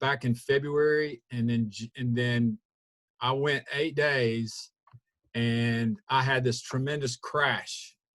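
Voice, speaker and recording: A man in a Southern US accent, very slow, with fairly even intonation and a bright, sharp tone. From US South. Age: 60s. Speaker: weight-loss program member. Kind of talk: testimony. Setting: video call. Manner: halting.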